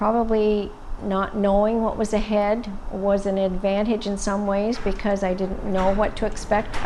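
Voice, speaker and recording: A woman with a medium-pitched voice talks amid audible room echo and noticeable background noise. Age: 60s. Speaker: breast cancer survivor. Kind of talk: testimony.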